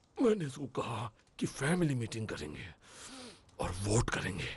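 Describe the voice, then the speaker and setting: A man's put-on character voice at medium pitch, fairly slow, with very wide pitch swings. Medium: fan dub.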